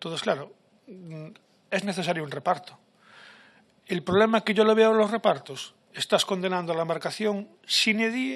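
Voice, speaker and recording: A speaker with a Galician accent talks with ordinary pitch variation over a quiet background. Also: man. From Galicia, Spain. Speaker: fishing sector social representative. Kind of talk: panel discussion. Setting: parliamentary seminar.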